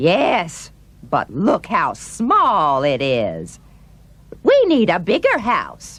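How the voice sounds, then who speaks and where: This put-on character voice sits fairly high. It moves at a very slow pace. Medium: audio drama. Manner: eager, insistent.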